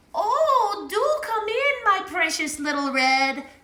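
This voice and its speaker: This put-on character voice has an extremely high pitch and very wide pitch swings, delivered at a fairly slow pace. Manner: cackling.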